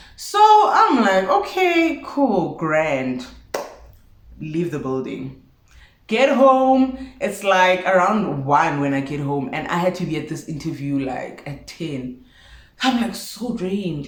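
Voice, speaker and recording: A woman speaks at a very slow pace with a fairly low pitch and very wide pitch swings. Audible room echo surrounds her voice. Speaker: vlogger. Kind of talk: storytime vlog. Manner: animated.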